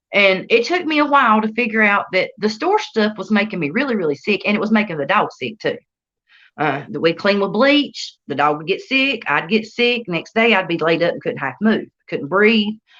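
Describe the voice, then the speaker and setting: In a Southern US accent, a woman with a bright, sharp tone speaks at a moderate pace, her pitch swinging very widely. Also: fairly high pitch for a woman. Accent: Southern US country. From North Carolina. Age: 30s. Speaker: entrepreneur. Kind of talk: interview. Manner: casual, colloquial.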